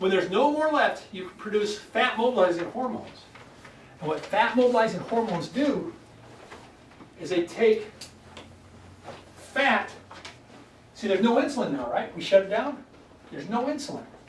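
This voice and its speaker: With noticeable background noise and audible room echo, a man speaks in an excited tone at a high pitch, leaving long, frequent pauses. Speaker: wellness doctor giving a weight loss workshop. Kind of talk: health workshop talk to a live group. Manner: fast, excited; animated.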